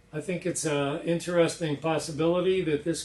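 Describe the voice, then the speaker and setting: A man with an unremarkable speaking voice talks at a moderate pace, with a fairly high pitch and fairly even intonation. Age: 60s. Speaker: inventor. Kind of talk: demonstration presentation. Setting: lab.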